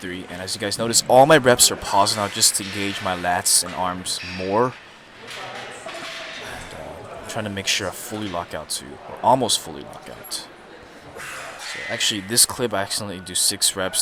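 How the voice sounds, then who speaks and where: Over noticeable background noise, a man talks in a fairly low voice with ordinary pitch variation and big swings in loudness. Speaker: fitness vlogger. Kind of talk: voice-over commentary. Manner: fast; casual.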